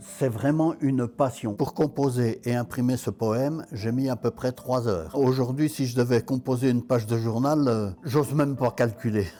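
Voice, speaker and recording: At a moderate pace, a man speaks in a dark, mellow tone at medium pitch with ordinary pitch variation. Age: 80s+. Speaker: traditional printer. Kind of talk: documentary interview.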